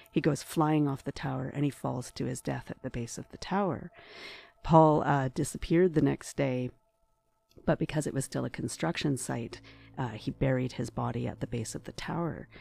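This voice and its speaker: A woman with a Canadian accent, a very deep, low pitch, vocal fry, a dark, mellow tone, ordinary pitch variation and a moderate pace. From Ottawa, Canada. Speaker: ghost tour guide. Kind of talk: casual interview.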